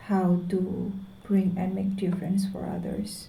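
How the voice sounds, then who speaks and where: A woman speaks very slowly in a medium-pitched, dark, mellow voice, somewhat breathy and flat in intonation. There is audible room echo. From Indonesia. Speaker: vlogger. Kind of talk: personal vlog monologue. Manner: halting.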